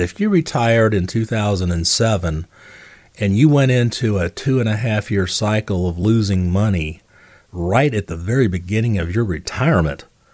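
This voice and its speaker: Using an ordinary speaking voice, a man talks at a moderate pace, his pitch fairly low with ordinary variation. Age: 60s. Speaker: financial advisor and radio host. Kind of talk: radio call-in style financial advice show. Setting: radio studio.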